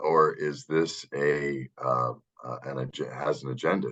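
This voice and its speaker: A man with an American accent speaks with big swings in loudness. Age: 60s. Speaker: podcast co-host. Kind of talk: casual chat. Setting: video call. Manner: halting, many fillers.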